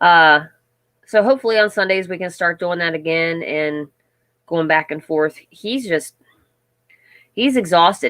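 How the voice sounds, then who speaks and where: A woman's fairly low voice at a fairly slow pace, with ordinary pitch variation and long, frequent pauses, on a very clean recording with a silent background. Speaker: livestream host of a homestead channel. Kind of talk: casual live chat with viewers.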